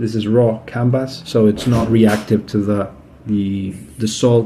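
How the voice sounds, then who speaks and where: A man talks at a medium pitch with a Spanish accent. His tone is dark and mellow. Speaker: aquarium hobbyist. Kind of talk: tutorial. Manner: halting, many fillers; casual.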